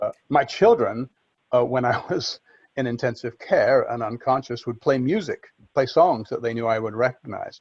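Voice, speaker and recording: Someone speaks at a moderate pace in a Liverpool accent. The sound is dry and close, without echo. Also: man. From Liverpool, England. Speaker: storyteller, accident survivor. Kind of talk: podcast interview answer.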